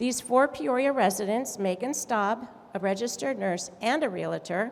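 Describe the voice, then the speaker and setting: A woman with an American accent, fairly high in pitch, uses an ordinary speaking voice with ordinary pitch variation at a moderate pace. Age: 60s. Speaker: community activist. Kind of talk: conference speech.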